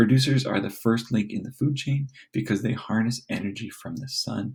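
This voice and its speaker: A man's medium-pitched voice with vocal fry. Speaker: teacher. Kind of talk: reading aloud. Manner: fast.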